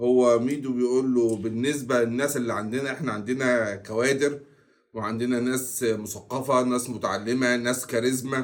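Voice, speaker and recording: Barely pausing, a man speaks at medium pitch in a monotone, flat delivery. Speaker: football commentary youtuber. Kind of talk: casual commentary monologue. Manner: deliberately slower and louder than usual.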